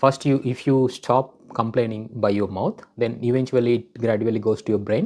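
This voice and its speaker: At a moderate pace, a man talks at a medium pitch. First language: Telugu. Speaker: vlogger. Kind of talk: personal self-help talk. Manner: hesitant, many fillers.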